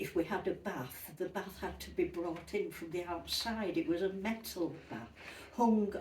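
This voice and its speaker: Against noticeable background noise, a woman with a Yorkshire accent talks at a medium pitch. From Yorkshire, northern England. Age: 80s+. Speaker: retired interviewee recalling childhood. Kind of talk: interview, personal recollection.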